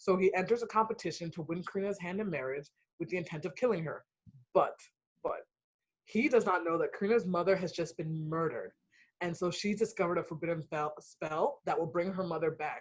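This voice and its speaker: A woman with a Ghanaian accent speaks fairly quickly in an animated tone. Her fairly low, somewhat breathy voice shows ordinary pitch variation. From US (immigrated from Ghana at three). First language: Ghanaian language. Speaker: author. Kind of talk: book event interview.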